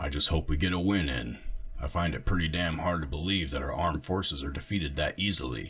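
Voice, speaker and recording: A raspy put-on character voice from a man, very deep and low, with ordinary pitch variation and a very fast pace. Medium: read story. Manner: gruff, blunt.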